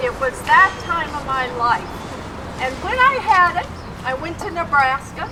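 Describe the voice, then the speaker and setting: A woman's high-pitched voice at a fairly slow pace, crowd noise in the background. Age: 70s. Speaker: rally speaker. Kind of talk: testimony.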